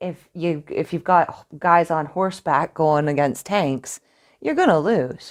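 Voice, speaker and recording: A woman with a Canadian accent speaks at a fairly slow pace in a plain, everyday voice, her pitch fairly low with ordinary variation, on a very clean recording over a silent background. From Canada. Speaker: podcast guest. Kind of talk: casual debate.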